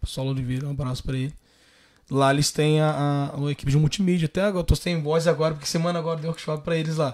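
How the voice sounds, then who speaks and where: A man talks at a very fast pace with a fairly high pitch and fairly even intonation. The background is quiet. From Valença, Rio de Janeiro state, Brazil; Rio de Janeiro state, Brazil. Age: 30s. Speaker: photographer; guest. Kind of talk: casual interview. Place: home room. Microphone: studio mic.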